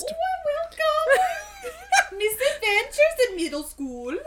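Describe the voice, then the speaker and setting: A put-on character voice with a Minnesota accent speaks at an extremely high pitch and a fairly slow pace, with very wide pitch swings. Loud background noise runs underneath. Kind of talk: mock announcer welcome.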